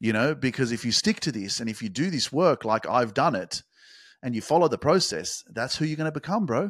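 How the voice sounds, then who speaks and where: A man speaks in an energetic tone with very wide pitch swings and some vocal fry. The recording is very clean, with a silent background and a dry, close sound with no echo. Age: 30s. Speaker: life coach podcaster. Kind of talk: motivational monologue. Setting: home studio. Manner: energetic, casual with filler words.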